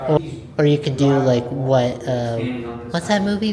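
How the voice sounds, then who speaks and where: Moderate pace amid noticeable background noise. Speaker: vlogger. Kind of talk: casual vlog tour.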